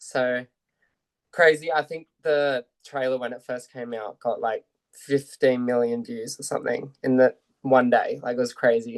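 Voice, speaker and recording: A man speaks at a fairly slow pace in an Australian accent, his intonation monotone and flat while his loudness swings widely. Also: dry, close sound with no echo. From Australia, Central Coast New South Wales. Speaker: actor. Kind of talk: interview chat.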